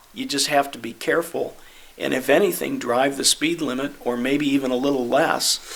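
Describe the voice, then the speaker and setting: A man speaks with a fairly high pitch and ordinary pitch variation. Noticeable background noise can be heard. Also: moderate pace. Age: 60s. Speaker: city committee member. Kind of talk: committee meeting discussion.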